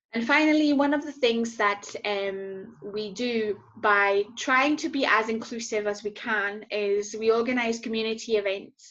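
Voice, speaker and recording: A woman with a French accent speaks at a fairly slow pace with hardly any pauses, her fairly high pitch showing ordinary variation. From southern France. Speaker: social enterprise founder and CEO. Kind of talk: conference talk. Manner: hesitant, many fillers.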